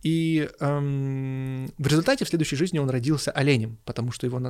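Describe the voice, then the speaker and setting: In a very clean recording with a silent background, a man with a plain, everyday voice speaks at a fairly high pitch with ordinary pitch variation. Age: 30s. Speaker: podcast co-host discussing religion and philosophy. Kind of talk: casual discussion.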